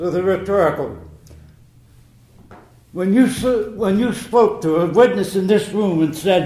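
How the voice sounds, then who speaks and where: Through noticeable background noise, a man with a high pitch and ordinary pitch variation talks at a fairly slow pace with long, frequent pauses. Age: 80s+. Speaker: war veteran. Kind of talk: courtroom testimony.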